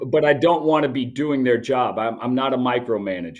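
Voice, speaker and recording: Against a quiet background, a man with an American accent speaks at a medium pitch. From US, grew up in many states and abroad (military family). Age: 60s. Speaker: business owner. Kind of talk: interview. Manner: halting, many restarts.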